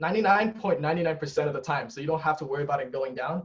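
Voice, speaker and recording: His fairly high pitch for a man moves with ordinary pitch variation. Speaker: student course instructor. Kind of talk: lecture. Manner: fast.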